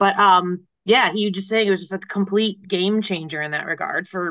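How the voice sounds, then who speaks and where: A woman with a medium pitch, a moderate pace, ordinary pitch variation and an unremarkable speaking voice. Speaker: legal tech news editor.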